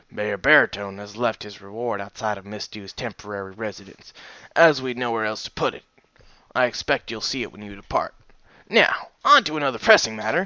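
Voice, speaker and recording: A man puts on a raspy character voice at a medium pitch. He delivers it at a fairly quick pace. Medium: read story. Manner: polite, formal.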